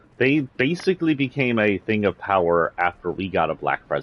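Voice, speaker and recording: A man's animated tone with lively intonation and a slight Southern US accent. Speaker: streamer. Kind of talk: livestream rant; casual chat.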